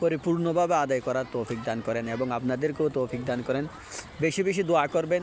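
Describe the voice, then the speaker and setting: There is noticeable background noise. A man speaks with a fairly high pitch and ordinary pitch variation. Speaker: imam leading taraweeh prayers. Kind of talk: casual religious talk to camera.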